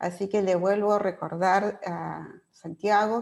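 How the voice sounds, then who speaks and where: The woman's intonation is monotone and flat. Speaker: moderator. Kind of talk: moderating a webinar. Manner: hesitant with fillers.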